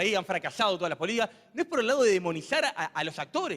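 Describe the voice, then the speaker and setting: Very fast speech from a man. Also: dry, close sound with no echo. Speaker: think tank speaker presenting the topic. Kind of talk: panel talk introduction.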